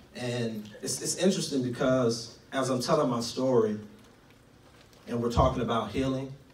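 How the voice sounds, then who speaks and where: A man with an American accent speaks at medium pitch and a moderate pace, with ordinary pitch variation. Room echo is audible, along with noticeable background noise. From Tulsa, Oklahoma. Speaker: guest preacher. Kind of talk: testimony.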